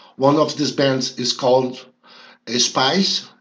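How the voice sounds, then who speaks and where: A man with a non-native accent speaks at a very slow pace and a medium pitch. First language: Portuguese. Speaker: rock music youtuber. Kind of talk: monologue commentary video. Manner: halting with frequent fillers.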